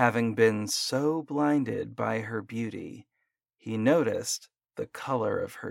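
Quiet background behind a natural reading voice

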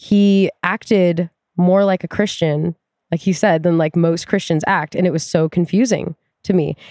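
A woman's dark, mellow, fairly low voice with an American accent, at a moderate pace, in a dry, close sound with no echo. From US Pacific Northwest (Tacoma, Washington). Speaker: climbing gym route setter and coach. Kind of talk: casual chat. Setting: in person.

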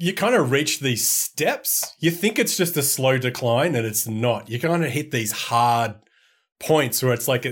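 Recorded very cleanly against a silent background, the speaker talks in an Australian accent with ordinary pitch variation. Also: man. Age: 40s. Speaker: media company co-founder and games writer. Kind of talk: casual chat.

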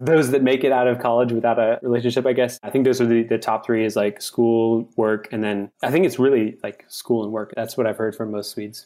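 A man with a dark, mellow tone speaks at a fairly quick pace. His pitch is medium and his intonation fairly even. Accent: American. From United States. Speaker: American expat living in Europe. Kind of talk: casual chat.

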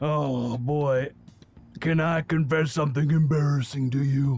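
A man's put-on character voice, fairly high-pitched, at a moderate pace. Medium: actual play. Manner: goofy, earnest, stammering.

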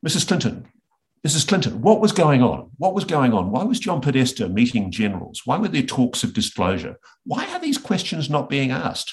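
A man with an Australian accent speaks at a fairly high pitch with vocal fry. His pitch swings very widely at a moderate pace. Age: 50s. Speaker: investigative journalist. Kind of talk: interview conversation.

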